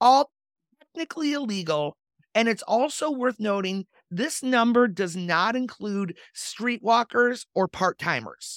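With an American accent and an ordinary speaking voice, a woman talks at a fairly slow pace and fairly high pitch with lively intonation, in a dry, close sound with no echo. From Michigan. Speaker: podcast host. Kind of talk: reading aloud; casual chat.

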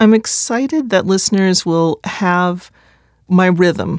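In a very slow delivery, a woman with an American accent keeps her intonation fairly even. The recording is very clean and dry, close-miked with no echo and a silent background. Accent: slight Midwestern, worked to reduce. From US Midwest. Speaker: poet and author. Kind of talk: casual monologue about audiobook.

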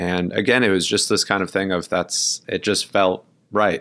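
A man with an American accent and a very deep, low pitch speaks at a moderate pace with fairly even intonation in a very clean recording with a silent background. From Brooklyn, New York. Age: 20s. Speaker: stage actor. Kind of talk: casual interview.

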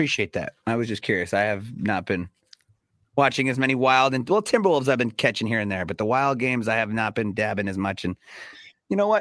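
The recording is very clean, with a silent background and a dry, close sound with no echo. A man speaks very fast at a medium pitch with ordinary pitch variation. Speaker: radio personality and sports fan. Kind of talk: casual sports chat.

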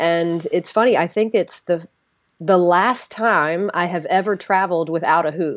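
A woman's plain, everyday voice with an American accent, fairly low in pitch, at a moderate pace with ordinary pitch variation, against a quiet background. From US South. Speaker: circus performer. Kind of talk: interview.

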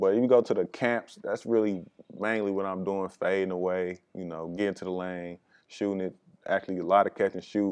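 Against a quiet background, a man talks at a fairly quick pace. His fairly low voice holds a monotone, flat intonation. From US Midwest, Milwaukee. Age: young. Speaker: professional basketball player. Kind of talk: interview. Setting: recording on location. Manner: casual, halting.

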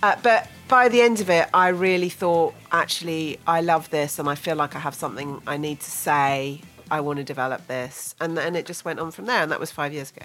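With music playing behind her, a woman talks at a fairly quick pace in a very deep, low voice, her intonation lively and her loudness swinging widely. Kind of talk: jokey banter played along with the host's radio patter, a mock-formal show intro. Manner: mischievous, animated and giggly, with a wry, gently sarcastic tone.

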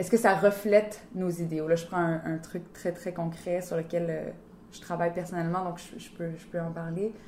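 A woman with a fairly low voice talks at a moderate pace. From Ottawa-Gatineau region, Canada. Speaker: actress. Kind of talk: interview. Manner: halting, many fillers and repetitions.

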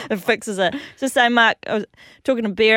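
A woman speaks with an Australian accent and fairly even intonation. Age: 30s. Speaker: jockey and radio co-host. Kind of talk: casual chat.

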